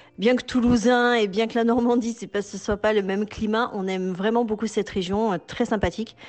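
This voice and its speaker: With noticeable background noise around her, a woman speaks at a moderate pace with fairly even intonation. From Toulouse, southern France. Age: 40s. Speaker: expatriate mother. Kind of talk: testimony.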